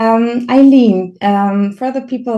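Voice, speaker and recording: With a German accent, a woman speaks in a dark, mellow tone. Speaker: podcast host, consultancy founder. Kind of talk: podcast interview.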